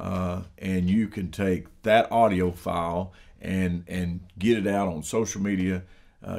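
Low pitch from a man, slightly mellow in tone, on a very clean recording with a silent background

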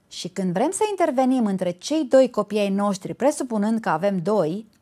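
A woman's lively intonation against a quiet background. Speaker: show host. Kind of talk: talk show monologue telling a story.

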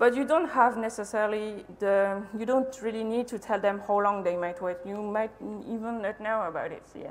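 A woman speaks at a moderate pace with ordinary pitch variation and hardly any pauses. Her loudness swings widely. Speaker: conference speaker. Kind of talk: lecture. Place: hall.

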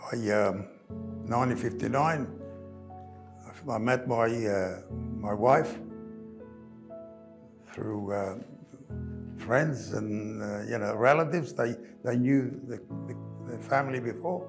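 A man's voice over clear background music, very slow, with long and frequent pauses and ordinary pitch variation. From Greece (Rhodes), living in Australia. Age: 80s+. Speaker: retired carpenter and church volunteer. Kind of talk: oral history interview answer. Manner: slow, hesitant, with pauses. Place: home room. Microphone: lapel.

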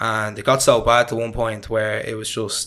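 Monotone, flat intonation in a Dublin accent. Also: man. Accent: Dublin Irish. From Ireland, Dublin. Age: 20s. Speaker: podcast guest. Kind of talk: interview. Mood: reflective, personal storytelling. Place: home room. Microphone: studio mic.

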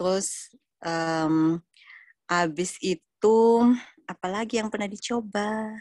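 A woman speaks very slowly, with long, frequent pauses and ordinary pitch variation. The sound is dry with no echo, and the background is quiet. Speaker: member sharing product experience. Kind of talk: testimony. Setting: audio-only online call. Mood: enthusiastic, warm. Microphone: video call.

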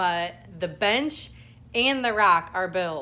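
The woman's voice has a bright, sharp tone. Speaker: lifestyle vlogger. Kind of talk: casual vlog chat. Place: home room. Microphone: phone near.

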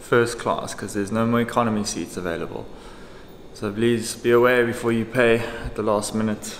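Noticeable background noise sits under this man's voice. He speaks at a fairly quick pace in a monotone, flat intonation. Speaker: travel vlogger. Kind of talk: casual vlog talk.

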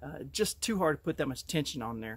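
A man speaks at a very fast pace in a dry sound with no echo. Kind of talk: casual vlog chat. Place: open country. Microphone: phone near.

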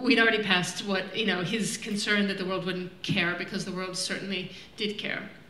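Audible room echo surrounds a woman speaking at a fairly quick pace. Her intonation is monotone and flat. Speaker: film director on panel. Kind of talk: Q&A answer. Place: stage.

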